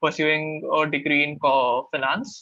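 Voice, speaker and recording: A man with an Indian accent speaks at a fairly high pitch. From India, Karnataka family, raised in Maharashtra. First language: Kannada. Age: 20s. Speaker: MBA student mentor. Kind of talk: webinar Q&A.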